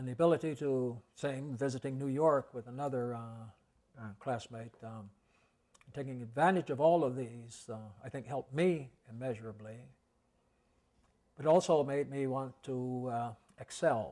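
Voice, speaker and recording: A man speaks in a normal speaking voice with an American accent, medium in pitch and at a moderate pace. His pitch varies in an ordinary way, while his loudness swings widely. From Evanston, Illinois. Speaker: Episcopal cathedral dean. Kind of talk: oral history interview answer.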